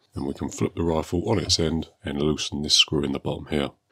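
Noticeable background noise sits behind a man with a very deep, low pitch. He talks at a fairly quick pace with fairly even intonation. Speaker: airgun hobbyist. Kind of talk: tutorial narration. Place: workshop.

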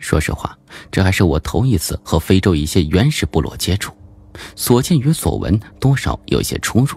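A man with vocal fry and very wide pitch swings, at a moderate pace. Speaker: audiobook narrator. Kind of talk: audiobook narration of a horror suspense novel. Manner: varied, expressive delivery.

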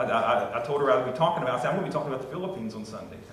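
A man with an American accent talks at a very fast pace, his medium pitch carrying lively intonation. His tone is fairly bright, and strong room echo surrounds him.

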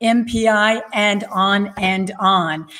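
A woman speaks against a quiet background. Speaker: show host. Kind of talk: show introduction. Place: home room. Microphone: studio mic.

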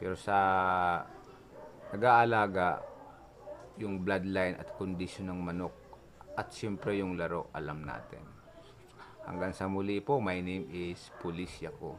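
A man speaks with a very deep, low pitch, ordinary pitch variation and a fairly slow pace. Long pauses come often over noticeable background noise. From Philippines, province. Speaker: YouTuber, cockfighting enthusiast; YouTuber. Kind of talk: casual vlog storytelling. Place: home room. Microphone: phone near.

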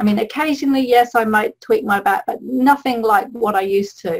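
This is a normal speaking voice. The woman's fairly high pitch shows ordinary variation. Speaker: holistic health coach. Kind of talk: webinar presentation.

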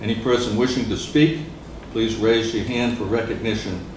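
This man talks at a fairly quick pace with fairly even intonation. Noticeable background noise and audible room echo are present. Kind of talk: formal procedural reading. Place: meeting room. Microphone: camera far.

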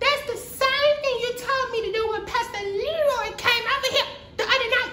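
Putting on a character voice, a man speaks at an extremely high pitch in a bright, sharp tone with ordinary pitch variation. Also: moderate pace.

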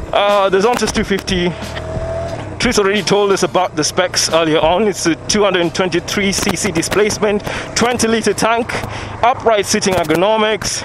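With music in the background and a dry sound with no echo, a man speaks at a high pitch with ordinary pitch variation. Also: moderate pace. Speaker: moto vlogger reviewing a bike. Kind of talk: casual ride commentary. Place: motorbike. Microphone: helmet.

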